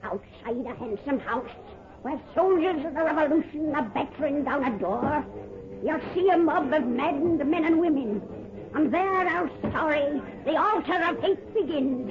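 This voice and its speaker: A put-on character voice cackles at a high pitch. The pace is moderate. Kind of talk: 1930s radio horror hostess. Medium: old radio play. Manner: cackling, folksy.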